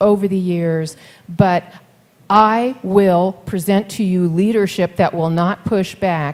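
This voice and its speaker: This woman has an unremarkable speaking voice, medium in pitch, with fairly even intonation. She talks at a fairly slow pace. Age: 60s. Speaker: mayoral candidate. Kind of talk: campaign speech at forum. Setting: forum with live audience.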